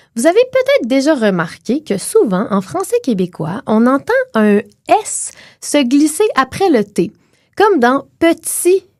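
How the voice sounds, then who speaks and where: Very slowly and with long, frequent pauses, a woman speaks in a Quebec accent at a high pitch with very wide pitch swings. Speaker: linguist and podcast co-host. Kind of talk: educational chat.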